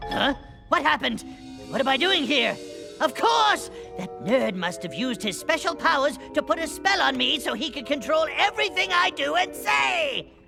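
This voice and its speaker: A cartoonish character voice goes at a moderate pace over clear music in the background. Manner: scheming.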